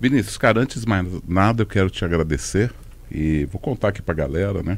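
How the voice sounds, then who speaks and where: Speaking at a fairly quick pace, a man with a very deep, low voice keeps his intonation lively. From Londrina, Paraná, Brazil. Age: 60s. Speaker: walking event organizer. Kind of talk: casual chat.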